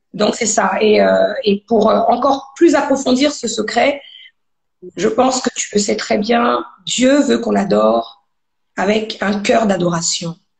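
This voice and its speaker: Very slowly and with vocal fry, a woman speaks at a fairly high pitch with ordinary pitch variation. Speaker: gospel singer. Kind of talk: interview testimony. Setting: live video stream.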